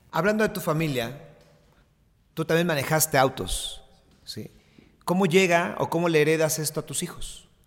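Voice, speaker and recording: The speech moves at a moderate pace with ordinary pitch variation, long, frequent pauses and big swings in loudness. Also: man, fairly high pitch for a man. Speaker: podcast host and sports journalist. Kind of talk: interview.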